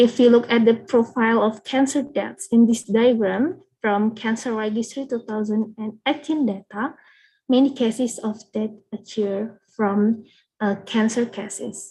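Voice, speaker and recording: A woman talks at a fairly slow pace in a fairly high pitch, somewhat breathy with a dark, mellow tone. Her intonation stays fairly even over a quiet background. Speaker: pharmacy student presenter. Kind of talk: academic presentation. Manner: halting.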